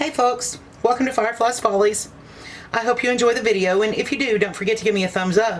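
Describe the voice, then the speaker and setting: Through noticeable background noise, a woman with an Ozark accent talks at a very fast pace in a fairly high pitch with fairly even intonation. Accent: Southern US, Ozark. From US South, Ozark Mountains of Arkansas. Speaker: cooking channel host. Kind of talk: cooking tutorial. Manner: casual, folksy.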